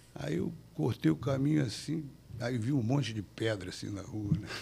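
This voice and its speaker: Very wide pitch swings from a man going at a fairly slow pace. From Brazil, Rio de Janeiro (Copacabana). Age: 70s. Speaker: jiu-jitsu grandmaster. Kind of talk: interview storytelling.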